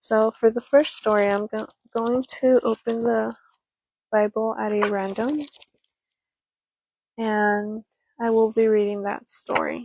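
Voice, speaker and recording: A soft-spoken woman's fairly high, monotone voice at a fairly slow pace, with long, frequent pauses and a dry, close sound free of echo. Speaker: ASMR storyteller. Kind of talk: casual talk to camera.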